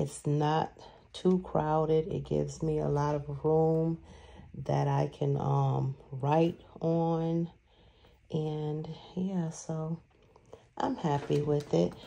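Very slow speech from a woman, broken by long, frequent pauses. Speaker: planner vlogger. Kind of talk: craft tutorial. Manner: casual, halting with fillers.

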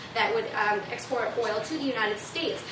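A woman's voice shows ordinary pitch variation, with noticeable background noise behind it. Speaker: student debater. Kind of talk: debate speech. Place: classroom. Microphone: camera far.

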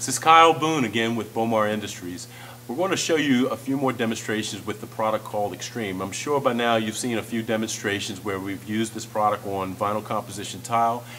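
A man talks at a fairly quick pace while noticeable noise sounds in the background. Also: medium pitch for a man, ordinary pitch variation. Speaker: product demonstrator. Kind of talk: sales pitch. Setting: demonstration on floor surfaces, video. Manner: informal, explanatory.

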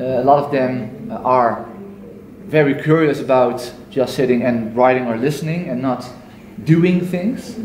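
Audible room echo and light background noise surround a man speaking at a fairly slow pace with ordinary pitch variation. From Netherlands. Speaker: Montessori school staff, audience participant. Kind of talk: audience contribution in discussion. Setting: conference workshop. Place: hall. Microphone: camera far.

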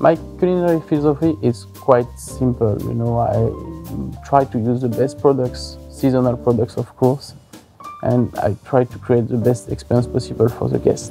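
A man with a French accent speaks at a moderate pace while clear music plays in the background. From Savoie, French Alps, France. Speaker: head chef. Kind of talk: interview answer. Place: hall.

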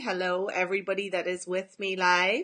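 A woman's bright, sharp tone at a moderate pace, set against a quiet background. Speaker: business coach. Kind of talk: casual live stream chat. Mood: warm, cheerful, laughing. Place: home room. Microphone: phone near.

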